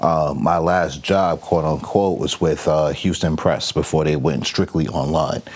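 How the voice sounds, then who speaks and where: Speaking with an American accent, a man uses a very deep, low pitch, fairly even intonation and very even loudness at a fairly slow pace. Noticeable background noise runs underneath. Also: hardly any pauses. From New York, Long Island. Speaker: digital marketing agency owner. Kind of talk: podcast interview.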